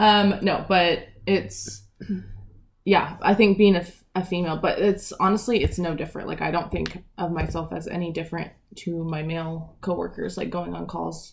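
A woman with an American accent talks at a moderate pace and fairly low pitch, with vocal fry. Her pitch variation is ordinary. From Eastern Washington, US. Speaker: police officer. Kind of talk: casual interview.

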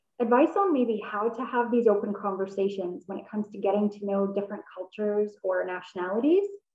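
Talking at a fairly quick pace, a woman with a Canadian accent has an ordinary speaking voice, fairly high in pitch with ordinary variation. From Canada. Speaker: podcast interviewer, life coach. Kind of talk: interview.

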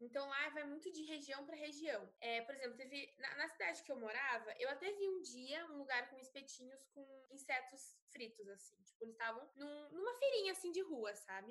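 High-pitched speech from a woman with lively intonation, a moderate pace and hardly any pauses. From Brazil. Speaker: university student and traveler. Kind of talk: casual chat.

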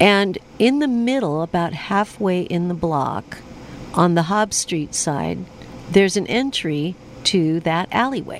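Over noticeable background noise, a woman speaks fairly slowly at a fairly low pitch with lively intonation. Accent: American. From US West Coast. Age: 60s. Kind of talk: casual radio chat and interview. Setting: radio studio.

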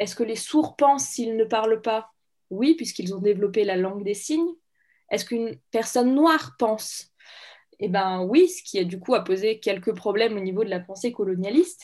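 A woman with a fairly high pitch and a dark, mellow tone speaks at a moderate pace with lively intonation, over a quiet background. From France, Saint-Étienne. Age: 20s. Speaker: medical student. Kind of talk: interview.

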